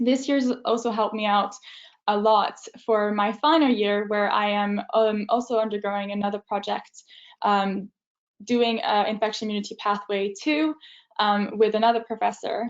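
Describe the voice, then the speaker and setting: In a French accent, a woman with a fairly high pitch talks at a moderate pace with fairly even intonation. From France. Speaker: university student. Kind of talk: student talk in a webinar. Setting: video webinar. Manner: hesitant, many fillers.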